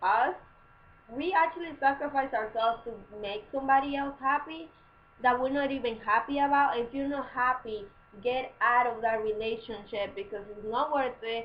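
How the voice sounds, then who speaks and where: With a non-native accent, a woman speaks at a moderate pace in a high pitch with ordinary pitch variation. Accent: foreign. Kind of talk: casual advice talk to camera. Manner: chatty, informal.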